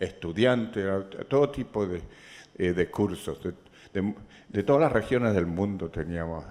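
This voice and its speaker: A man's fairly low voice at a fairly slow pace, with ordinary pitch movement and long, frequent pauses. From Chile. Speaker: economist and governance expert. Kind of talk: lecture. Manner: halting, with frequent false starts.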